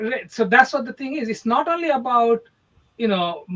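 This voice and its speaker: This man has an Indian accent and an extremely high pitch. He talks at a fairly quick pace, with ordinary pitch variation. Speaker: real estate agent. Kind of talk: casual chat.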